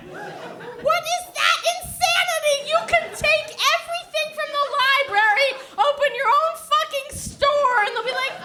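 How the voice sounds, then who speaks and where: In a New Jersey accent, a woman projects a raised voice at an extremely high pitch, with very wide pitch swings and a fairly slow pace. Noticeable background noise and audible room echo fill the recording. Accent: New Jersey American. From New Jersey, US. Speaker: stand-up comedian. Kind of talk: stand-up. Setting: stage with audience. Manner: loud; animated.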